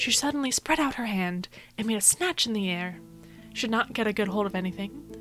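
Clear music plays behind a woman whose soothing, calm tone carries lively intonation. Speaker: audiobook reader. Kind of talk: audiobook reading. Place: home room. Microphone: studio mic.

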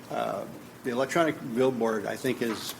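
A man with an American accent, amid noticeable background noise and audible room echo. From California, Gilroy. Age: 60s. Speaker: public commenter. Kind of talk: public comment. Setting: city council chambers. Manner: halting, many fillers.

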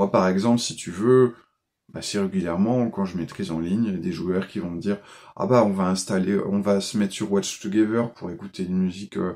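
Against a quiet background, a man with a dark, mellow tone and fairly low pitch talks at a fairly quick pace with fairly even intonation. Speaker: role-playing game video maker; tabletop role-playing game host. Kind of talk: casual monologue tutorial. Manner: hesitant, many fillers. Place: home room. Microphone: phone near.

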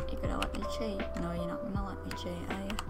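A woman speaks over clear music playing in the background. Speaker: gaming YouTuber. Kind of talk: casual gameplay commentary.

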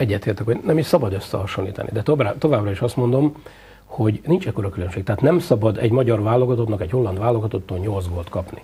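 The speech races along at a very fast pace with lively intonation. Light background noise can be heard. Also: man, medium pitch for a man. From Hungary. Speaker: football coach, former international player. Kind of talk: TV sports interview. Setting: TV studio. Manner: hesitant, many filler sounds. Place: studio. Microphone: lapel.

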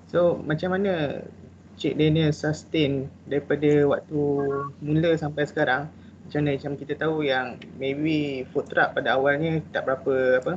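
Against light background noise, a man talks at a moderate pace in a fairly high pitch with monotone, flat intonation. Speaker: trainee participant. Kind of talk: Q&A question. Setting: video call. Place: home room. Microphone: video call.

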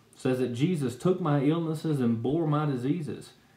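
A man's voice at a moderate pace, with ordinary pitch variation and audible room echo. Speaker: speaker. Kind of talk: personal testimony talk. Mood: earnest, calm. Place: home room. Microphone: webcam.

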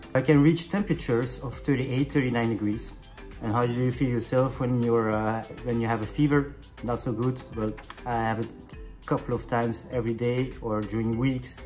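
Man with a French accent and fairly even intonation, clear music in the background. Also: moderate pace. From Belgium. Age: 30s. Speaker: chef. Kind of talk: casual talk to camera. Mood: earnest, personal, somewhat tired. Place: home room. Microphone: phone near.

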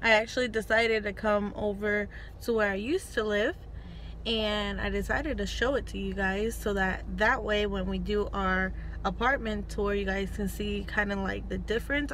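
A woman's voice sounds dry, with no echo. Light background noise is present. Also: moderate pace. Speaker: vlogger. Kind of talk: casual vlog chat. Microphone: phone near.

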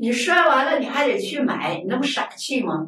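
With audible room echo, a woman speaks at a moderate pace, her pitch swinging very widely. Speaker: Buddhist lay teacher. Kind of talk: lecture. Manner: colloquial, conversational asides. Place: studio.

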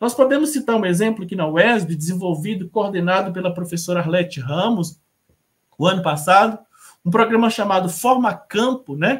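At a moderate pace, a man speaks at a high pitch with ordinary pitch variation. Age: 40s. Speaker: professor. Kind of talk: panel talk. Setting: video call. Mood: earnest, personal. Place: home room.

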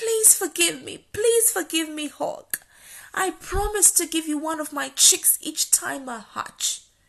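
A cartoonish character voice, female-sounding and extremely high-pitched, at a fairly slow pace against a quiet background. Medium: puppet show. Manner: whiny, feigning illness, then panicked pleading.

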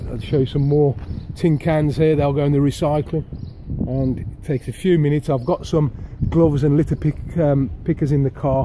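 A man speaks with fairly even intonation. There is light background noise. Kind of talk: casual vlog chat. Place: street. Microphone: phone near.

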